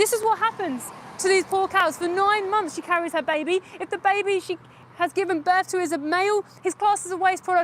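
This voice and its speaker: Her pitch extremely high, a woman talks at a fairly quick pace with ordinary pitch variation. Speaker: animal rights activist livestreamer. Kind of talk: live stream street activism. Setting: outdoors outside a slaughterhouse. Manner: loud.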